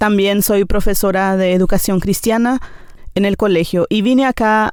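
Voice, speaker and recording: In a very clean recording with a silent background, a woman speaks at a moderate pace in a medium-pitched, flat monotone. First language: Nivacle (speaking Spanish). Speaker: teacher. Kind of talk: interview testimony. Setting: studio. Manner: hesitant, many fillers.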